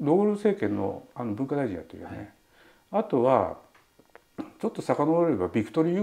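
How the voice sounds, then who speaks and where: At a very fast pace, a man with a dark, mellow tone and vocal fry speaks with very wide pitch swings. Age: 70s. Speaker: writer and political candidate. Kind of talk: interview answer. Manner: casual, talkative. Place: home room.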